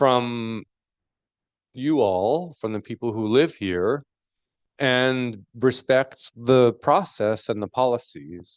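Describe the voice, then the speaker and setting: In a quiet background with a dry, close sound and no echo, a man speaks at a very slow pace and a medium pitch. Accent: New York. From New York. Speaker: fisheries researcher. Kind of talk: panel discussion. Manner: slowed-down deliberate pace.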